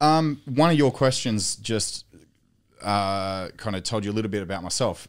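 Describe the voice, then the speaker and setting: With an Australian accent, a man talks at a moderate pace in a fairly low pitch with lively intonation. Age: 30s. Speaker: Olympic swimmer and strength coach. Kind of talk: casual chat. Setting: studio.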